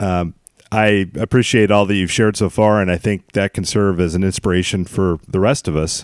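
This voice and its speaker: An ordinary speaking voice with an American accent moves at a moderate pace. The recording is very clean, with a silent background and a dry, close sound with no echo. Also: man. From Western Montana. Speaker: podcast host. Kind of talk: interview; scripted narration.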